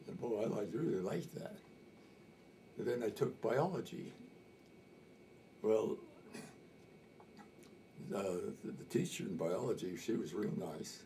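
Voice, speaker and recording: Speaking with an American accent, a man uses a dark, mellow tone with vocal fry and very wide pitch swings, at a fairly slow pace with long, frequent pauses. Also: medium pitch for a man. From Montana. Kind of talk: interview answer. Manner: casual, hesitant storytelling.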